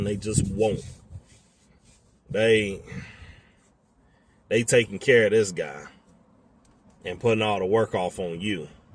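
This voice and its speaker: A man with an American accent speaks at a fairly slow pace. His pitch is fairly low with ordinary variation. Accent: Southern US accent, remarked on by a customer. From US South. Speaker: tow truck driver. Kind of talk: casual talk to camera. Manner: casual, profane.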